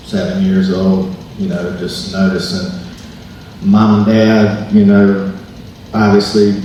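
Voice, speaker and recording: A fairly low-pitched man with an American accent and fairly even intonation, plus audible room echo and noticeable background noise. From Maryland, US. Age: 30s. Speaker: podcast co-host giving testimony. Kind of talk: testimony. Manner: halting, many fillers.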